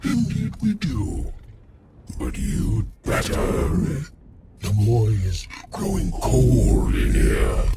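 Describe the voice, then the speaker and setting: A growling, put-on character voice from a man, very slow, with long, frequent pauses. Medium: video game.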